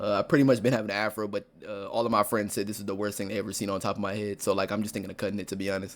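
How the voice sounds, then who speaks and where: Talking at a very fast pace with hardly any pauses, a man keeps a fairly low pitch and a monotone, flat intonation. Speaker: streamer. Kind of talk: casual chat.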